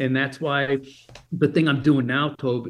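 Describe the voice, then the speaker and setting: This is a man talking. He speaks with a General American accent. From Germany. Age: 50s. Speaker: motivational speaker. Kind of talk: interview. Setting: phone call.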